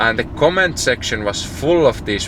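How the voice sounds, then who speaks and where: A man with a Finnish accent, over noticeable background noise. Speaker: entrepreneur vlogger. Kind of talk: casual vlog monologue.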